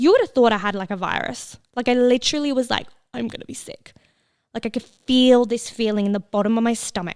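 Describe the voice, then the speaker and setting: In an Australian accent, a woman speaks in a fairly high pitch with an animated tone and big swings in loudness. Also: ordinary pitch variation, fairly quick pace. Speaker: podcast host. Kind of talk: casual podcast monologue.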